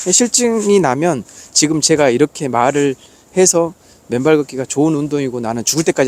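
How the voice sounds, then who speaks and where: A man speaks at a fairly high pitch in an animated tone, his pitch swinging very widely. The sound is dry and close with no echo. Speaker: barefoot walking vlogger. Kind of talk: casual vlog monologue. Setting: outdoors on a mountain trail.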